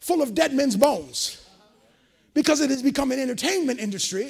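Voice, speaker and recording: Animated and at a fairly quick pace, a man talks at an extremely high pitch with ordinary pitch variation. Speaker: preacher. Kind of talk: sermon. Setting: church. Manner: animated, call-and-response, building to a crescendo; loud, fervent. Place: hall.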